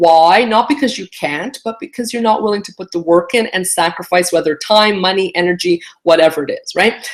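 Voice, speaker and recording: A woman speaks in a Canadian accent with lively intonation. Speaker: immigration lawyer. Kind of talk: casual live stream talk. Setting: live video stream. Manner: animated, many fillers.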